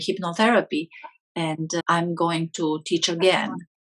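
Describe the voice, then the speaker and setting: At a moderate pace, a woman with a fairly low pitch and a Romanian accent speaks in a dry, close sound with no echo. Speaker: hypnotherapist. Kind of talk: interview.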